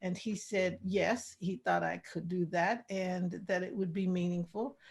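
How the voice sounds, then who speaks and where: The speaker is a woman with a somewhat breathy voice. She talks at a fairly slow pace. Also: medium pitch for a woman, fairly even intonation. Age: 60s. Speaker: artist and author. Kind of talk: interview.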